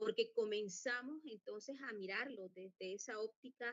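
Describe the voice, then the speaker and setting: A woman talks at a fairly slow pace. Her fairly high pitch shows ordinary variation. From Colombia, La Guajira (Wayuu people). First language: Wayuunaiki (speaking Spanish). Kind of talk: conference talk. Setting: virtual conference. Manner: halting, many fillers.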